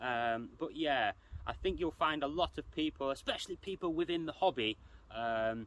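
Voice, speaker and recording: With an English accent, a man with a fairly high voice talks at a moderate pace using lively intonation. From England. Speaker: RC hobby youtuber. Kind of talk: casual commentary video. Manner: hesitant, many fillers.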